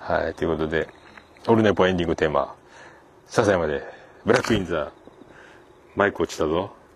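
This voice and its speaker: A man's very deep, low voice at a very fast pace, with ordinary pitch variation and long, frequent pauses. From Japan, Fukuoka (Hakata). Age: 40s. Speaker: podcast host. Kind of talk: casual solo monologue. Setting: outdoors by a riverbank. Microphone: handheld iPhone / voice recorder.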